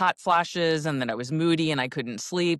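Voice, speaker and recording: A woman with a very deep, low pitch and ordinary pitch variation, in a dry, close sound with no echo. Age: 60s. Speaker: health and nutrition coach, podcast co-host. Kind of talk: casual chat.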